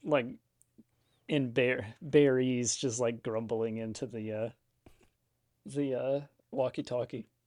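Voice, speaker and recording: Very slow and marked by long, frequent pauses, a man's medium-pitched voice keeps a fairly even intonation in a very clean recording with a silent background. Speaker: regular player. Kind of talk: casual tabletop roleplaying game session.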